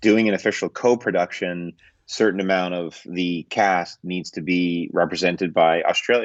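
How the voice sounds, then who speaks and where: A man with a Canadian accent speaks at a moderate pace in a very deep, low pitch. His intonation is fairly even, and the sound is dry and close with no echo. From Canada. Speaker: film director and producer. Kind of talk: interview answer. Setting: video call.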